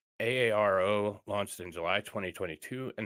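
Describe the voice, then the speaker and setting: Recorded very clean with a silent background and a dry, close sound with no echo, a man talks at a moderate pace in a fairly low pitch with a slight Upper Michigan accent. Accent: slight Yooper. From northern US Midwest (Michigan, not Upper Peninsula). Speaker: streamer. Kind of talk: live stream news reading and commentary. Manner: casual, with hesitations.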